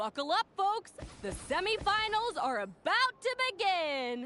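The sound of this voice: A woman performs a put-on character voice with extremely high pitch, a bright, sharp tone and big pitch swings, going at a fairly slow pace.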